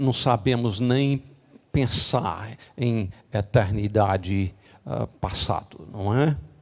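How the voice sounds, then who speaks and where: This man's voice, medium in pitch with ordinary pitch variation, moves at a very slow pace broken by long, frequent pauses. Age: 70s. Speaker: pastor. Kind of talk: sermon. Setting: church. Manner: halting, many fillers.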